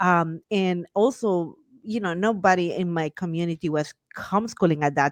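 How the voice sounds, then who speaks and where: A woman talks fairly slowly, her fairly low pitch moving with ordinary variation. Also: dry, close sound with no echo. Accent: Guatemalan. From Guatemala. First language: Spanish. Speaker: Spanish teacher and homeschool mom. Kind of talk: podcast interview. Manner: animated.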